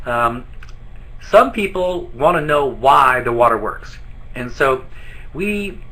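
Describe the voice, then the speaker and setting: In a room with audible echo, a man talks with lively intonation at a fairly high pitch. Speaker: business trainer. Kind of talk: training presentation. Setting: office, live online broadcast. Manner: fast.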